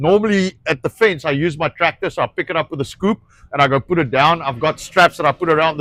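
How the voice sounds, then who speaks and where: Speaking at a fairly quick pace, a man with a South African accent uses a fairly high pitch and ordinary pitch variation. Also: dry, close sound with no echo. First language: Afrikaans. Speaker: rancher. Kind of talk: casual chat. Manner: halting.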